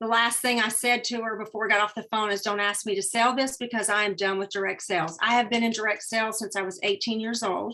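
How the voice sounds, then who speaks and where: With a Southern US accent, a woman talks at a fairly quick pace in a fairly high pitch, her tone bright and sharp and her intonation fairly even, over a quiet background. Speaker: direct sales businesswoman. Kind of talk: webinar training talk.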